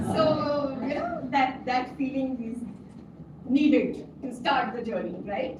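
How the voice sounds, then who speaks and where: A woman speaks loudly and very slowly at a high pitch. Audible room echo and noticeable background noise are present. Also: ordinary pitch variation, hardly any pauses. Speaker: education expert, former principal. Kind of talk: talk to parents.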